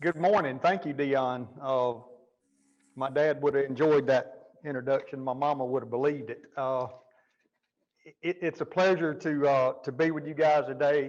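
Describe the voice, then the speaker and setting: Speaking with a Southern US accent, a man uses a fairly high pitch and fairly even intonation. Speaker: jail administrator and keynote speaker. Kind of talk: keynote speech. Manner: fast when passionate.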